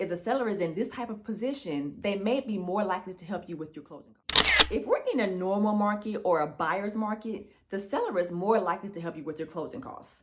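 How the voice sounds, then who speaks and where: The voice moves at a fairly quick pace with hardly any pauses and ordinary pitch variation. Its loudness swings a lot. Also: woman, medium pitch for a woman. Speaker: realtor. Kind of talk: tutorial. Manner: fast.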